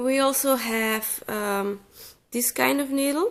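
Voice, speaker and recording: Here a woman speaks with a slight Flemish accent. Her pitch variation is ordinary. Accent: slight Flemish Dutch. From Flanders, Belgium. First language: Dutch. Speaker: crochet teacher. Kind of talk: tutorial. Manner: hesitant, many fillers. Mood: calm, relaxed. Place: home room.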